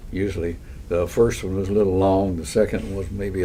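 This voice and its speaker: Over noticeable background noise, a man with a Texan accent talks at a fairly quick pace with a very deep, low pitch. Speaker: war veteran. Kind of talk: interview answer. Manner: hesitant, halting.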